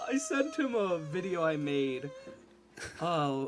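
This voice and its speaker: Music plays in the background. Over it, a man talks with lively intonation. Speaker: gaming streamer. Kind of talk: casual chat. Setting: live stream.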